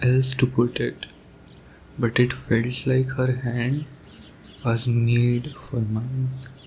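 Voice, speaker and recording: A man's medium-pitched, tired-sounding voice at a very slow pace. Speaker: ASMR roleplay voice performer. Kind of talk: ASMR boyfriend roleplay monologue. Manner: soft, tender, romantic; tired, sleepy.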